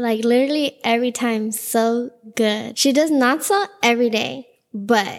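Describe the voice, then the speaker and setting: Using a normal speaking voice, a woman with an American accent speaks at a fairly slow pace, her fairly high pitch showing ordinary pitch variation. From Los Angeles, US. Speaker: painter and artist. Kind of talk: casual interview.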